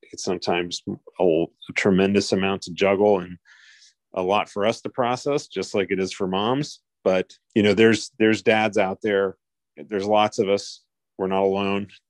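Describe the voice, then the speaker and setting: A man with a normal speaking voice at a moderate pace and fairly even intonation, in a quiet background. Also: fairly low pitch for a man, dry, close sound with no echo. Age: 50s. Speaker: podcast co-host and parent advocate. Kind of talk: casual chat.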